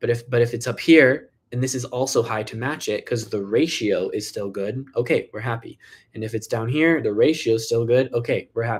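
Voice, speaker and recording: Somewhat breathy, a man talks with fairly even intonation and hardly any pauses. The recording is very clean, with a silent background. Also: medium pitch for a man, fairly quick pace. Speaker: health doctor answering viewer questions. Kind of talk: live Q&A. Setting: livestream. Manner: fast.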